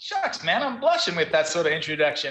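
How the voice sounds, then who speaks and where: A man with an Australian accent at a fairly quick pace, with ordinary pitch variation. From Australia, Brisbane. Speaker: SEO marketing consultant. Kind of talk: interview. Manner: casual, repetitive stammering.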